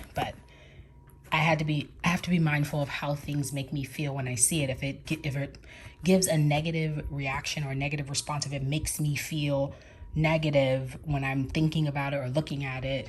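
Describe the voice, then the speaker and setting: A woman's very deep, low, somewhat breathy voice with monotone, flat intonation. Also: fairly quick pace. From New York and Georgia, USA. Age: 30s. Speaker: crisis counselor. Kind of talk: casual vlog talk to camera.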